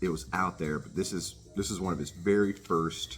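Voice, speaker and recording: A man's animated voice at a moderate pace, ordinary pitch variation, with music in the background. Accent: American. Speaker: record collector vlogger. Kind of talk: casual chat. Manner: halting, many fillers.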